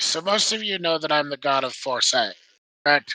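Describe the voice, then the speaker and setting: A man puts on a raspy character voice with a fairly high pitch. He talks at a fairly quick pace. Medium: actual play. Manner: nervous, stammering.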